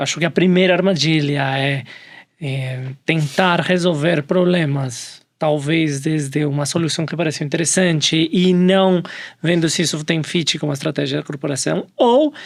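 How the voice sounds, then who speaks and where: A man speaks with a Colombian accent. His pitch is fairly high and his pace fairly slow. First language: Spanish (speaking Portuguese). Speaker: innovation professional, panel guest. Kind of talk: panel discussion.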